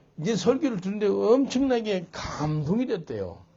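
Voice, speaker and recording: A high-pitched man at a fairly slow pace, lively intonation, and audible room echo. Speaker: pastor. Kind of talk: sermon.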